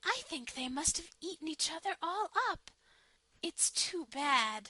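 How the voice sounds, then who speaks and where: A put-on character voice at a fairly slow pace, dry and close with no echo. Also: woman, extremely high pitch for a woman, lively intonation. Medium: read story.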